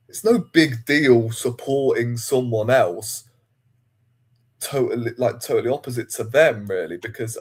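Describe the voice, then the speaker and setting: On a very clean recording with a silent background, a man with a Yorkshire accent speaks fairly slowly, his loudness swinging widely. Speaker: football fan. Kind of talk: casual chat.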